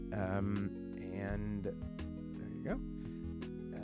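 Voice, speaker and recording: A man's voice with music in the background. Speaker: solo tabletop RPG YouTuber. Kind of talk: casual talk to camera, product unboxing. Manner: hesitant, casual, uses fillers.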